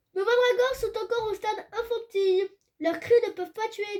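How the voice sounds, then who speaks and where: Putting on a squeaky character voice, a woman talks at a moderate pace with an extremely high pitch. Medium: read story. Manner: neutral, matter-of-fact.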